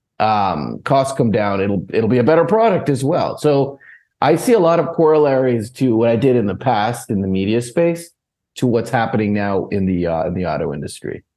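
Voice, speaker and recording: This man has a plain, everyday voice, with an American accent, medium pitch, lively intonation and a moderate pace. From United States. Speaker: equity analyst. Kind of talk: interview.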